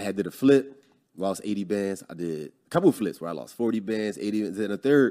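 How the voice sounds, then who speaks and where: Speaking fairly quickly, a man with a fairly low voice uses a dark, mellow tone and lively intonation. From Philadelphia, US. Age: 30s. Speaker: real estate investor. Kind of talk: casual interview.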